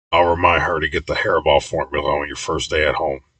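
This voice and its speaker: A man speaks in a put-on character voice. He talks at a very fast pace. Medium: read story. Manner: gruff.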